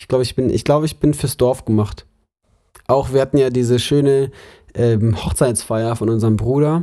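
In a dark, mellow tone, a man talks at a moderate pace and medium pitch with fairly even intonation and big swings in loudness. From Germany, Munich. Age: 20s. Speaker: podcast co-host, theology student. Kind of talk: casual chat.

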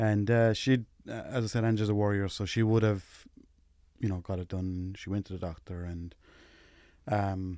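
In a Limerick accent, a man speaks at a moderate pace with a fairly low pitch and a dark, mellow tone. The recording is very clean, with a silent background. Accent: Limerick Irish, noticeable. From West Limerick, Ireland. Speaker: widowed single dad, interviewee. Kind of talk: casual interview, personal conversation. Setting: studio.

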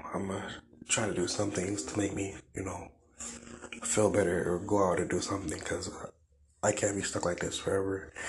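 A man's fairly low, monotone, flat voice at a fairly quick pace, broken by long, frequent pauses, over noticeable background noise. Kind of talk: personal vent, solo video diary. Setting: YouTube video. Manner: halting, filler-heavy, low energy.

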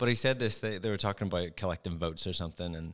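Someone speaks in a Northern Irish accent in a very clean recording with a silent background. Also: man. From Northern Ireland. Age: 40s. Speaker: former pediatrician turned ministry worker. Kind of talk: casual chat. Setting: studio.

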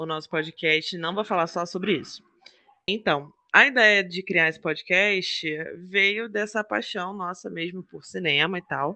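Speaking fairly slowly, a man uses a high voice with ordinary pitch variation. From Rio de Janeiro, Brazil. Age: 30s. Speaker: podcast co-host. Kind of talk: casual podcast introduction.

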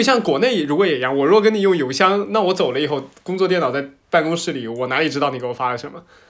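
A man's fairly high voice, very fast and lively, with hardly any pauses. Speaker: podcast host. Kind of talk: casual chat.

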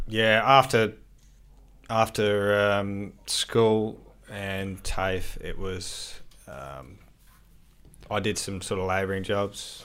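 Very slowly, with long, frequent pauses, a man with an Australian accent talks at a fairly low pitch, using ordinary pitch variation and big swings in loudness. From Adelaide, South Australia. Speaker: landscaping business owner. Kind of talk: casual chat.

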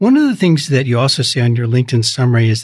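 Against a quiet background, a man speaks in a medium pitch that is somewhat breathy. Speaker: podcast host. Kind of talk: interview conversation. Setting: studio.

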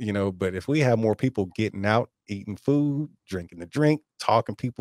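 A man with lively intonation in a dry, close sound with no echo, on a very clean recording with a silent background. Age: 40s. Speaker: podcast host and YouTuber. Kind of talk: casual chat. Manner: animated.

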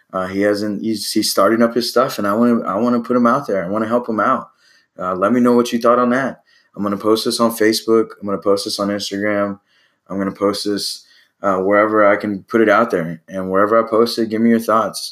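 Speaking at a fairly quick pace, a man with an American accent has a fairly low pitch and monotone, flat intonation. The recording is very clean, with a silent background. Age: 30s. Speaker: podcast host, basketball coach. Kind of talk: solo podcast monologue. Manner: halting, many fillers.

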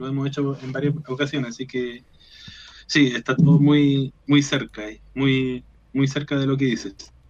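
A man's fairly high voice at a moderate pace. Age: 30s. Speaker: rock guitarist and chemistry teacher. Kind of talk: radio interview. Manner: halting, many repetitions.

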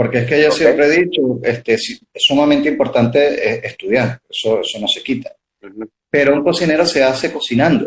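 A man's fairly high, somewhat breathy voice at a fairly quick pace, with hardly any pauses and ordinary pitch variation. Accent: Lara Venezuelan. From Venezuela, Barquisimeto (Lara). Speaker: pastry chef. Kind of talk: casual interview. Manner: halting, many fillers.

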